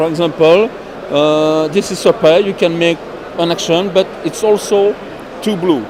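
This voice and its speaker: A man talks at a moderate pace, his pitch high and its variation ordinary. Background noise is noticeable. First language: French. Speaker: board game publisher representative. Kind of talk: product demonstration interview. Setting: busy trade fair. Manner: halting.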